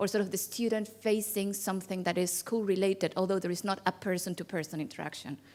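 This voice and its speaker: A woman is speaking. She has a non-native accent. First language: not English. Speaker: audience member. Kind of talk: audience question. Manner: halting.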